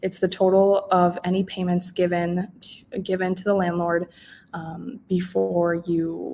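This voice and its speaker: A woman with a fairly low pitch speaks in a fairly even intonation. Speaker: housing services presenter. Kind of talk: informational webinar presentation. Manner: hesitant, many fillers.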